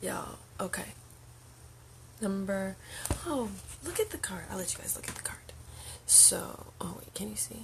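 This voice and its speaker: Whispering at a moderate pace with long, frequent pauses, a woman's loudness swings widely amid noticeable background noise and audible room echo. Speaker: spiritual channel host, card reader. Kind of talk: livestream oracle card reading. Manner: soft-spoken, near whisper.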